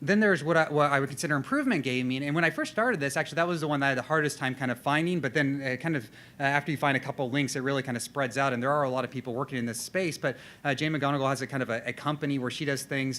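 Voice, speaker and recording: Talking at a very fast pace, a man has a fairly high pitch. His tone is bright and sharp, with fairly even intonation. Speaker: designer and conference speaker. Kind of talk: conference presentation. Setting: stage with audience. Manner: halting, many fillers and repetitions.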